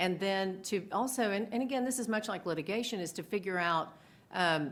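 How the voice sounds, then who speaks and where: A woman, medium in pitch with ordinary pitch variation, talks at a fairly quick pace. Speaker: e-discovery lawyer. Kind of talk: panel discussion. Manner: loud.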